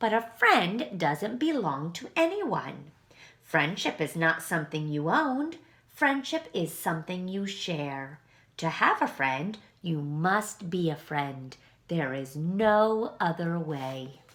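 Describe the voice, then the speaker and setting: A woman performs a put-on character voice at fairly low pitch, drawling at a fairly slow pace. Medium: read story. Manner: slow, gentle drawl.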